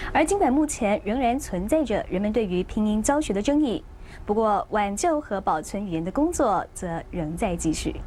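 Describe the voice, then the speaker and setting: With a fairly high pitch, a woman speaks in very wide pitch swings. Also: moderate pace. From Yunlin, Taiwan. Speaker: TV news reporter. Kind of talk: TV news report narration.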